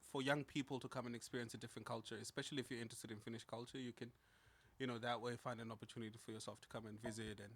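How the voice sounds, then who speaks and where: With a Zimbabwean accent, a man talks at a very fast pace in a monotone, flat intonation. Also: medium pitch for a man. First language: Shona. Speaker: podcast co-host. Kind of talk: casual chat.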